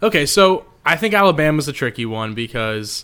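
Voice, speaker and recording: Very wide pitch swings run through this man's bright, sharp tone. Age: 20s. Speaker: sports journalist and podcast co-host. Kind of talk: casual chat.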